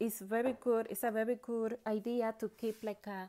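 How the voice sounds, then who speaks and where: With a non-native accent, a woman speaks at a fairly high pitch in a dark, mellow tone. Her pace is fairly slow. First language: not English. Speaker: home cooking video maker. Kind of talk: tutorial. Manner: hesitant, many fillers.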